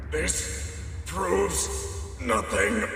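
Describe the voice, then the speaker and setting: A man performs a cartoonish character voice. A strong echo surrounds it. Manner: cocky, taunting.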